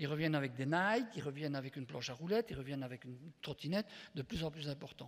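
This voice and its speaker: At a very fast pace, a man speaks with lively intonation. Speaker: psychopedagogue and association founder, conference speaker. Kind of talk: conference talk.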